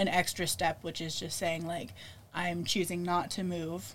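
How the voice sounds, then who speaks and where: A woman is speaking. Her pace is moderate. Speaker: podcast host. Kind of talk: casual chat. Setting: bedroom.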